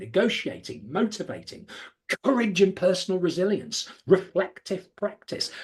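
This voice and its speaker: A man with a British accent, high in pitch, at a moderate pace with lively intonation. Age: 60s. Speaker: podcast co-host, former police firearms officer. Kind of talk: conversational podcast discussion.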